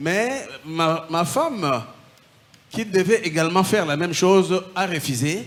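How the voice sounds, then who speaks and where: A man's high-pitched voice with lively intonation at a very slow pace. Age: 60s. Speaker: former occultist giving testimony. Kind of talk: testimony.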